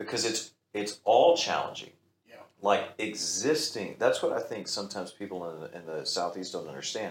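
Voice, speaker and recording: A man talks with a Texan accent. His loudness swings widely. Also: moderate pace. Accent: Texan American English. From Texas. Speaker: pastor. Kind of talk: casual chat.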